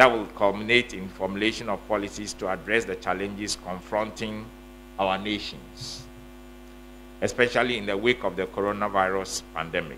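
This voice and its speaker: With light background noise, a man in an ordinary speaking voice talks at a moderate pace, his fairly low pitch kept in fairly even intonation. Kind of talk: formal speech. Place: hall. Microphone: podium.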